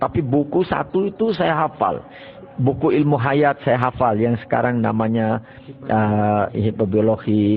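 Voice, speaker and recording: Noticeable background noise sits behind a man's voice. He has a medium pitch and ordinary pitch variation, and he talks at a moderate pace. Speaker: Islamic cleric and boarding school founder. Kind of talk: life story interview.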